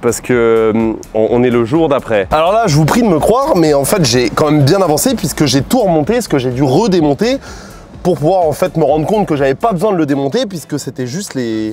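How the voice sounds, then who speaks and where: Music plays in the background as a man talks fairly quickly in a fairly high voice with very wide pitch swings. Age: 20s. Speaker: YouTuber car mechanic hobbyist. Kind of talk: vlog tutorial narration. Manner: casual, halting with repetitions.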